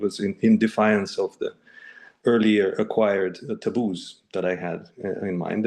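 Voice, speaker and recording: The voice carries vocal fry and a dark, mellow tone, moving at a fairly slow pace with ordinary pitch variation. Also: man. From Russia. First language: Russian. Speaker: neuroplasticity coach. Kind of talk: casual chat. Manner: halting.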